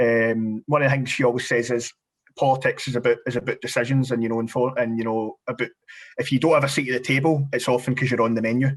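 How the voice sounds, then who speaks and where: Speaking at a very fast pace, a man keeps a monotone, flat intonation at a medium pitch. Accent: Glaswegian. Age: 20s. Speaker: parliamentary candidate. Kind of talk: podcast interview. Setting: video call. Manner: halting, many repetitions.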